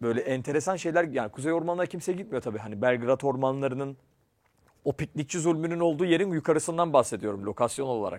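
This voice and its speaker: The recording is very clean, the background silent. A man speaks at a very fast pace with lively intonation and fairly high pitch. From Turkey, Ankara. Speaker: program host and actor. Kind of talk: casual interview chat.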